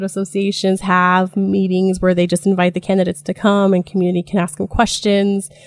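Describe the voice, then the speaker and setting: A woman speaks with a General American accent. The sound is dry and close with no echo, on a very clean recording with a silent background. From Idaho, US (Jerome, Magic Valley). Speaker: political organizer. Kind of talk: casual interview. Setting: studio.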